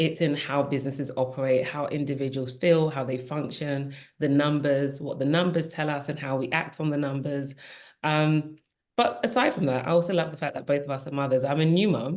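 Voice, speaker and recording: With a British accent, a woman talks in a very deep, low pitch and fairly even intonation over a quiet background. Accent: British accent, kept. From England, Nigerian parents. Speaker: diversity and inclusion executive. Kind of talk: podcast panel conversation.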